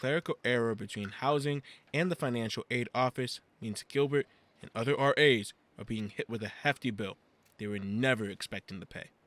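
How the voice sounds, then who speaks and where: A man with an American accent talks at a fairly quick pace in a plain, everyday voice of medium pitch, with ordinary pitch variation. His loudness swings widely, and the sound is dry and close with no echo. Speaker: news reporter and anchor. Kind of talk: broadcast news reporter stand-up and anchor read.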